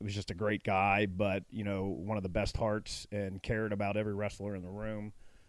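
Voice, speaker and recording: Fairly quick, monotone, flat male speech in a Midwestern American accent, fairly low-pitched with hardly any pauses, on a very clean recording with a silent background. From Cincinnati, Ohio. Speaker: former high school wrestler. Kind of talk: interview. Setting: outdoors by a pool.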